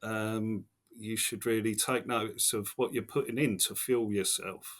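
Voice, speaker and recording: On a very clean recording with a silent background, a man with an English accent speaks at a medium pitch and a fairly slow pace in a monotone, flat intonation. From Essex, England. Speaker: taxi driver. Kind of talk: podcast interview answer. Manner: casual, conversational.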